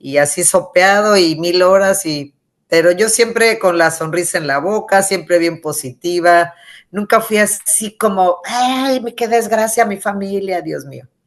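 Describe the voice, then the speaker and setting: Against a quiet background, a woman with a medium pitch talks at a fairly slow pace, using ordinary pitch variation and big swings in loudness. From Mexico City, raised from age six (born Michoacán). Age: 60s. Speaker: author. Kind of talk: interview. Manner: animated.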